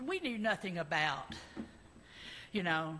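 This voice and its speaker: A woman with an Arkansas accent speaks in a bright, sharp tone. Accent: Southern US (Arkansas). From US South, Arkansas (Little Rock). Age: 70s. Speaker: congregation member. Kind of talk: personal testimony. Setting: church service. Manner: halting, many fillers.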